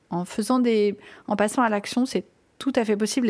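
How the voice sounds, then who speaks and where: With an ordinary speaking voice, a woman talks at a fairly quick pace on a very clean recording with a silent background. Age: 40s. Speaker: parenting coach and podcast host. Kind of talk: personal monologue podcast.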